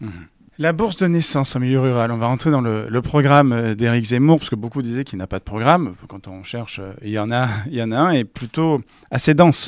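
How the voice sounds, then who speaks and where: On a very clean recording with a silent background, a man uses a normal speaking voice at medium pitch and a fairly quick pace, with big swings in loudness. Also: ordinary pitch variation. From France, Var (Provence). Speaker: interviewer. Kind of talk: political interview.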